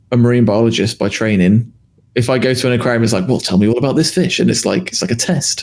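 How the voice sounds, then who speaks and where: A man speaks with a British accent. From UK. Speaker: podcast co-host. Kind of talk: casual chat.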